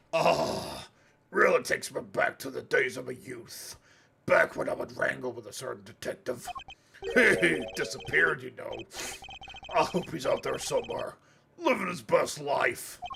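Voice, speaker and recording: Using a put-on character voice, a raspy man speaks at a moderate pace with big swings in loudness and long, frequent pauses. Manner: creepy.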